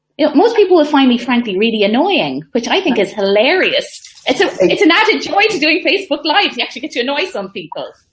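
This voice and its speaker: In an Irish accent, a woman talks at a very fast pace in a high pitch with very wide pitch swings. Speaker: social media coach. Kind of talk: casual interview on live video.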